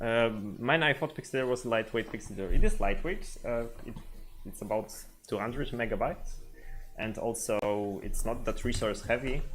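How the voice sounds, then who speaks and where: A man with a Polish accent at a fairly slow pace, with ordinary pitch variation and long, frequent pauses. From Poland. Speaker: software developer. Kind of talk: live stream tutorial. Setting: live stream, home setup. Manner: halting, many fillers.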